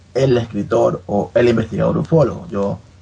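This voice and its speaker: At a moderate pace, a man speaks in a medium, somewhat breathy voice with ordinary pitch variation. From Ecuador, Guayaquil. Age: 30s. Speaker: author, amateur ufology researcher. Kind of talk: interview.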